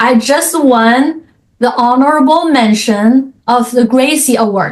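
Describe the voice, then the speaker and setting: A woman with a Chinese accent speaks very slowly in a high pitch, with ordinary pitch variation and very even loudness. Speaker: author and coach. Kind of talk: interview.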